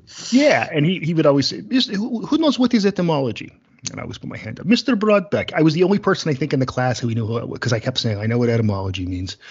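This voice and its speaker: The voice races at a very fast pace with vocal fry, very wide pitch swings and big swings in loudness. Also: man. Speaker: podcast host. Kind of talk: casual chat.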